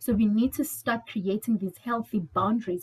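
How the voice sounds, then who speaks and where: Her voice is somewhat breathy, and this woman speaks at a medium pitch. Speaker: mental health trainer. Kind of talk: webinar presentation.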